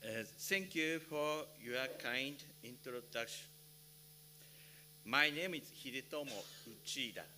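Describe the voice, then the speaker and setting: A man with a Japanese accent speaks very slowly at a fairly high pitch, with ordinary pitch variation and long, frequent pauses. Music plays in the background, and the room echo is audible. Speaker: electrical safety engineer, conference speaker. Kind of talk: conference presentation. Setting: conference hall with interpreters. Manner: halting.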